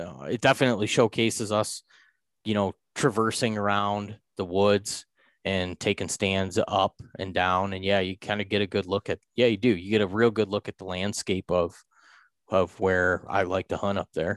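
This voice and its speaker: A man speaks in a normal speaking voice at a fairly low pitch and moderate pace, with fairly even intonation. The sound is dry and close with no echo, against a quiet background. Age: 30s. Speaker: deer hunter. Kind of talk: casual chat.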